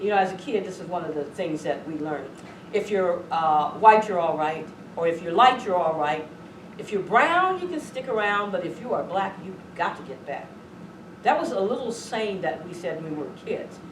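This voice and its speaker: A woman with an American accent speaks at a moderate pace in a medium pitch, with lively intonation and big swings in loudness. Audible room echo and noticeable background noise surround her voice. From Southern California. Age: 60s. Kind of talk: lecture.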